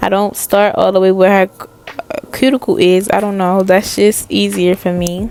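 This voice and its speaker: Over noticeable background noise, a woman speaks at medium pitch and a moderate pace with fairly even intonation. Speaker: beauty vlogger doing nails. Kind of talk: tutorial voice-over narration. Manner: halting, self-correcting; casual.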